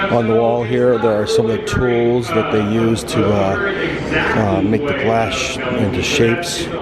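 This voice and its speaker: A man with an American accent and a medium pitch speaks at a fairly slow pace with hardly any pauses, very even loudness and ordinary pitch variation, with audible room echo and noticeable background noise. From Missouri (St. Louis). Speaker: travel vlogger. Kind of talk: casual vlog narration.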